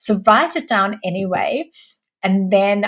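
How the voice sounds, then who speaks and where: The voice is somewhat breathy, with lively intonation. The recording is very clean against a silent background. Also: woman. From Sweden. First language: Swedish. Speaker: entrepreneur. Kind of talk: interview.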